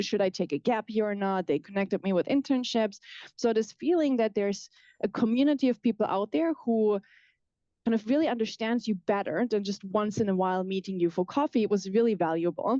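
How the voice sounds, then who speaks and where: Over a quiet background, a woman with a German accent speaks at a fairly quick pace and a fairly high pitch with lively intonation. Her tone is dark and mellow, her loudness very even, and the sound dry and close with no echo. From southwest Germany. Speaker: professor. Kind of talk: lecture. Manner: fast.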